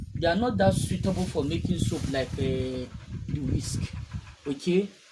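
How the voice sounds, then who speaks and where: A high-pitched man at a moderate pace with very wide pitch swings, over noticeable background noise. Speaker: soap maker. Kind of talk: tutorial. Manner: conversational, repeats for emphasis.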